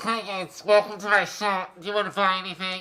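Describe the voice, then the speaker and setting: Someone uses a put-on character voice at a middle pitch with monotone, flat intonation. The delivery moves at a fairly quick pace. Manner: friendly, welcoming.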